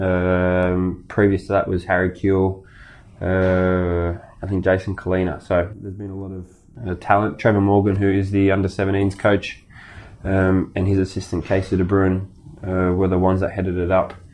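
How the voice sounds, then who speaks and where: In an Australian accent, a man with a very deep, low pitch talks at a moderate pace with monotone, flat intonation. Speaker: professional footballer. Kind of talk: casual chat.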